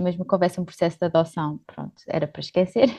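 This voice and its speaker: Against a quiet background, a woman speaks at a medium pitch with fairly even intonation in a plain, everyday voice. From Portugal, born in Luxembourg. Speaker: volunteer and social entrepreneur. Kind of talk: interview.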